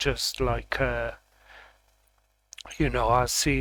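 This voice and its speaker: The voice is loud and the pace fairly slow. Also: man. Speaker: vlogger doing tarot readings. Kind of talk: casual vlog monologue. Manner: talking kind of loud; halting, many fillers and restarts.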